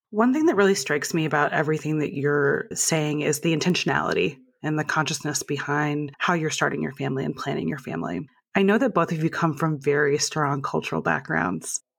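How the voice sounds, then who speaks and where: Vocal fry runs through this woman's very deep, low voice. She talks at a fairly quick pace with ordinary pitch variation. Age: 30s. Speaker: podcast host. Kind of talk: interview.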